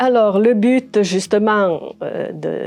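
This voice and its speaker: A woman's voice with ordinary pitch variation, music playing in the background. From Aosta Valley, Italy. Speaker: retired educator. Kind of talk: interview. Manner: halting, many fillers.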